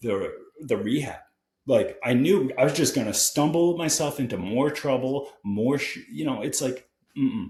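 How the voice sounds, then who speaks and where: With an American accent, the speaker's somewhat breathy voice moves at a moderate pace with lively intonation. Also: man. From Connecticut. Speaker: guest in recovery from addiction, distance runner. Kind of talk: casual interview conversation.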